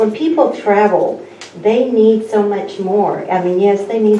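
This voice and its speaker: A woman's fairly high voice comes through audible room echo with noticeable background noise behind it. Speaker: chamber of commerce director. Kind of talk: public meeting presentation. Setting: county meeting room.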